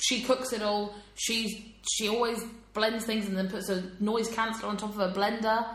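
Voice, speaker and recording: The delivery is monotone and flat at a moderate pace. Noticeable background noise runs underneath. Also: woman, fairly high pitch for a woman. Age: 20s. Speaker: podcast co-host. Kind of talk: casual chat.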